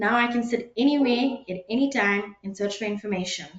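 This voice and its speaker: A woman at a fairly quick pace, ordinary pitch variation, and audible room echo. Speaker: webinar presenter. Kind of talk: lecture. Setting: webinar.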